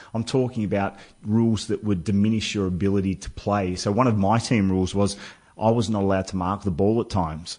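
This man talks at a fairly quick pace, his fairly low voice holding a fairly even intonation. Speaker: former footballer turned author. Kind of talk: radio interview. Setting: studio.

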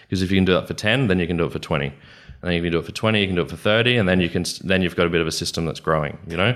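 A man with an Australian accent and a very deep, low pitch speaks very fast on a very clean recording with a silent background. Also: ordinary pitch variation. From Queensland, Australia. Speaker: business consultant. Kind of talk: interview. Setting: studio.

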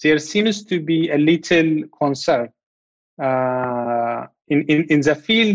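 In an Ethiopian accent, a man talks at a fairly slow pace in a fairly high voice. The sound is dry and close, with no echo. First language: Amharic. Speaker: law researcher. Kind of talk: interview.

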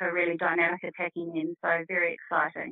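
With a New Zealand accent, a woman talks at a fairly quick pace. Her pitch sits in the medium range. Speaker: netball coach. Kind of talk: interview answers. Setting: studio.

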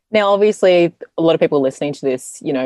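In an Australian accent, the voice has a dark, mellow tone and ordinary pitch variation. The sound is dry and close, with no echo. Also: woman. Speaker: podcast host. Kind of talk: interview.

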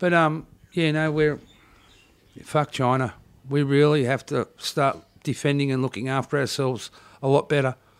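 A man with an Australian accent, fairly high pitch and fairly even intonation, long, frequent pauses, in a very clean recording with a silent background. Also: moderate pace. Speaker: podcast guest. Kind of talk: casual chat.

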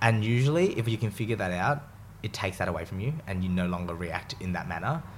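A man speaks at a very fast pace with lively intonation and a fairly low pitch. He talks with an Australian accent. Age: 20s. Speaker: chef. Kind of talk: casual chat.

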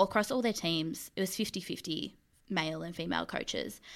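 A woman speaks with an Australian accent at a fairly low pitch, with ordinary pitch variation. The recording is very clean, with a silent background. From Mildura, rural Victoria, Australia. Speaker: sports fandom researcher and editor. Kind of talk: casual chat.

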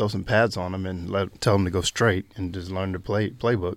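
Heard in a very clean recording with a silent background, a man with a very deep, low pitch speaks at a moderate pace with fairly even intonation. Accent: North Carolina. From US South, North Carolina. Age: 20s. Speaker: professional athlete. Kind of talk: interview. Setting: studio. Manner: hesitant, many fillers.

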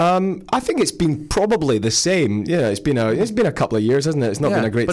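Speaking at a moderate pace in a Scottish accent, the voice makes very wide pitch swings while keeping loudness very even. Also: man, fairly high pitch for a man. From Scotland. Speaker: touring comedy stage actor, radio interview guest. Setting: radio studio interview.

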